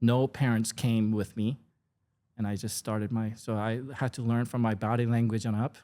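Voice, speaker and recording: With a Korean accent, a man speaks at a medium pitch and moderate pace in a monotone, flat intonation, on a very clean recording with a silent background. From South Korea, moved to California at 13. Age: 50s. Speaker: food content creator. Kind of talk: casual podcast interview.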